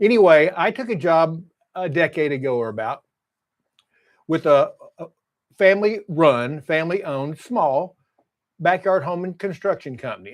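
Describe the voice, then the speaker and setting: A high-pitched man with a Texas accent at a moderate pace. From Texas, Fort Worth. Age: 70s. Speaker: YouTuber, construction estimator. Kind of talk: casual vlog monologue. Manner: halting, many repetitions.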